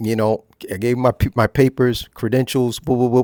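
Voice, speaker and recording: A man talks at a medium pitch, the sound dry and close with no echo. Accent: New Jersey. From US Northeast, Newark, New Jersey. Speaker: retired teacher, channel presenter. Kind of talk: casual monologue. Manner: casual, repetitive with fillers.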